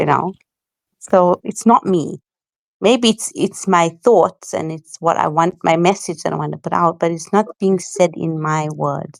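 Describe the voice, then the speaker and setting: A woman with a South African accent talks at a fairly slow pace in a fairly low voice with ordinary pitch variation, the sound dry and close with no echo. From South Africa, Johannesburg. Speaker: content creator. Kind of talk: casual chat.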